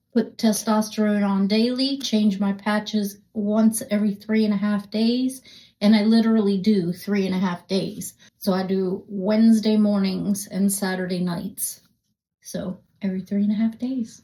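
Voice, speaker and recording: Somewhat breathy speech at a moderate pace, in a monotone, flat intonation. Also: woman, medium pitch for a woman. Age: 60s. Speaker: menopause health content creator. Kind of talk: casual talk to camera. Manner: calm.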